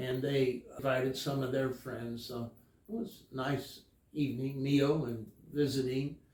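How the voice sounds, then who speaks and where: Fairly slow, somewhat breathy speech from a man at medium pitch, with fairly even intonation. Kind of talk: interview answer.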